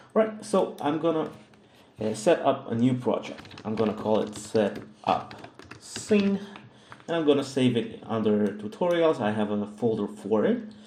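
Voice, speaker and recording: With a Russian accent, a man speaks at a moderate pace and medium pitch, his intonation lively. Noticeable noise sits in the background. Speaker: 3D modeling tutor. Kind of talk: tutorial. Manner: hesitant, many fillers.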